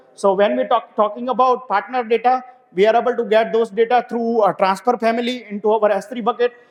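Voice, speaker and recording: Fairly quick, monotone speech with flat intonation and noticeable background noise. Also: man, extremely high pitch for a man. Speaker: software developer, conference speaker. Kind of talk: technical conference talk. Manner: fast; hesitant, many fillers.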